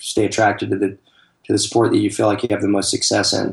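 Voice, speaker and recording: A man with an American accent talks very fast in a fairly low, monotone voice with vocal fry. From US South, Atlanta, Georgia. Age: 50s. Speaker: soccer travel company owner, ex-professional player. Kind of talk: interview. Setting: Skype call.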